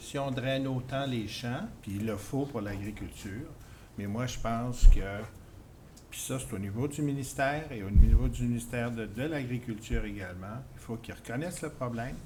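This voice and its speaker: The speech moves at a fairly slow pace with long, frequent pauses, big swings in loudness and ordinary pitch variation. There is noticeable background noise and audible room echo. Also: man. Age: 60s. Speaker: resident speaking at town meeting. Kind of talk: public meeting comment. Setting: public information meeting. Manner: halting, repeats words.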